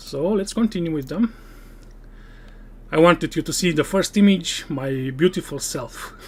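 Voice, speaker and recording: The speaker has a non-native accent and talks at a moderate pace with long, frequent pauses. The recording is very clean, with a silent background. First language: not English. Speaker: gaming streamer. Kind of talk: live stream gameplay commentary. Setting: live stream.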